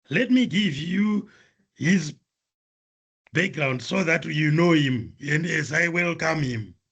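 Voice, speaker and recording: A man's fairly high voice with lively intonation, a very slow pace, and long, frequent pauses. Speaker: seminar moderator. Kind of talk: speaker introduction. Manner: formal.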